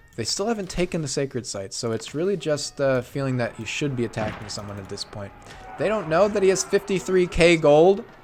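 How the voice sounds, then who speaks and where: A man's fairly high voice at a fairly quick pace, with very wide pitch swings, big swings in loudness and noticeable background noise. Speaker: esports caster. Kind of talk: live commentary. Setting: live stream. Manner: animated.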